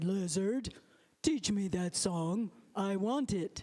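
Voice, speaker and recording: At a middle pitch, a put-on character voice moves at a fairly slow pace. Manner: gruff.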